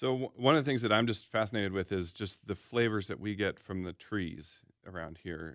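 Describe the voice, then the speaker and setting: Lively in intonation, a man with an unremarkable speaking voice talks at a fairly quick pace and a fairly low pitch. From US Pacific Northwest, Seattle. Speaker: chef. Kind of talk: casual interview. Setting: studio.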